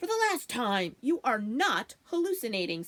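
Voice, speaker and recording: Doing a put-on character voice, a woman speaks at a moderate pace, high-pitched with very wide pitch swings. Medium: read story. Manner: brusque, contrary.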